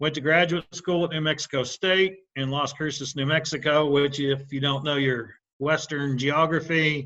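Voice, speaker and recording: The speaker is a man with a fairly high pitch and a bright, sharp tone. He keeps a moderate pace and fairly even intonation. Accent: Midwestern US. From Indiana. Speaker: animal nutrition specialist. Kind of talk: webinar presentation. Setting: online webinar. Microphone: unstable internet connection.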